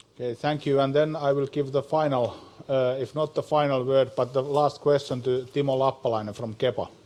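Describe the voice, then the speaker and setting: Words come at a fairly quick pace in a Finnish accent, with monotone, flat intonation. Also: man, medium pitch for a man. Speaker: panel moderator. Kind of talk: panel discussion moderation. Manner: halting.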